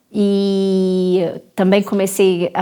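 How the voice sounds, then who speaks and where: A woman's voice sits at a medium pitch with a dark, mellow tone. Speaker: dentist. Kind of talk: interview conversation.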